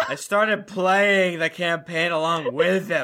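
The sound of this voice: This man puts on a character voice, high and bright with a sharp edge, moving at a slow pace with ordinary pitch variation.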